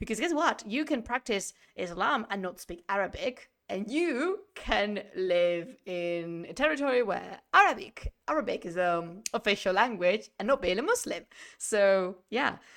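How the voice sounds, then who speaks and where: Speaking at a fairly slow pace with a Spanish accent, a woman uses lively intonation at a medium pitch. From Spain. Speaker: history streamer. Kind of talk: live-streamed lecture. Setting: live stream. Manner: animated.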